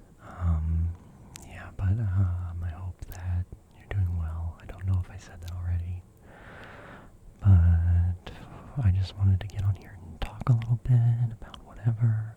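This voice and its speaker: Whispering at a fairly slow pace with long, frequent pauses over noticeable background noise. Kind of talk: ASMR casual chat. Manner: whispered.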